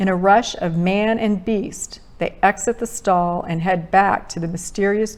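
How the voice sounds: This is a natural reading voice.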